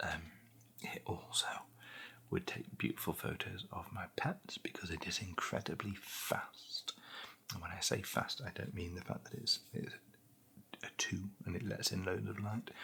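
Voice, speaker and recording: A man whispering in a British accent at a moderate pace, with long, frequent pauses and noticeable background noise. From England. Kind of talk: ASMR product unboxing and review. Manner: soft-spoken.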